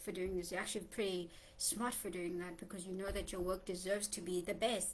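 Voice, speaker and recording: The speaker has a South African accent, and audible room echo surrounds the voice. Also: woman. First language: Xhosa. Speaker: poet and writer vlogger. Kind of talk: casual vlog monologue. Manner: conversational with many fillers.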